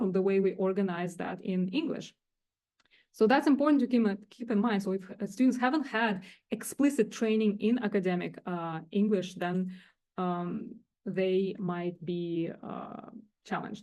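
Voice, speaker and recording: Over a quiet background, a woman with a non-native accent speaks at medium pitch and a moderate pace, with a dark, mellow tone and ordinary pitch variation. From Russia or Kazakhstan. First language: not English. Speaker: director of teaching and learning center. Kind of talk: faculty workshop presentation. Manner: halting, many fillers.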